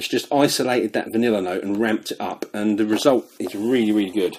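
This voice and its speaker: Very fast and dark and mellow in tone, a man speaks in a British accent. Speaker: fragrance reviewer. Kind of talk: product review.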